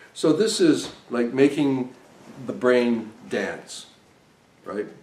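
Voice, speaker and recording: A man with a medium pitch talks through noticeable background noise and audible room echo. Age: 60s. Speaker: device designer and trainer. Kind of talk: lecture.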